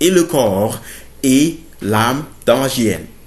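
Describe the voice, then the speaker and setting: Somewhat breathy speech comes at a very slow pace with lively intonation and audible room echo. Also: man. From Burkina Faso. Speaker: theology student, preacher. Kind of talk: sermon-style bible teaching to camera. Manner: halting, many fillers.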